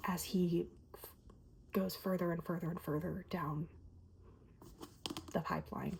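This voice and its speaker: The voice is soft-spoken, with monotone, flat intonation. It moves at a very slow pace. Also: woman. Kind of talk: ASMR book review.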